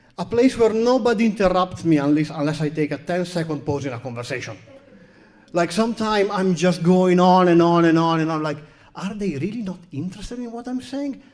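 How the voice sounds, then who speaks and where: Delivered at a fairly quick pace, the speech carries a strong Italian accent and lively intonation. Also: man, high pitch for a man. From Italy. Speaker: comedian. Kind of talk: stand-up. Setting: stage with audience.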